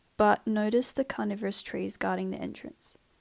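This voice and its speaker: A woman talks at a moderate pace. Behind her voice, music is playing. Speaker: university student. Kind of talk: game prototype walkthrough narration.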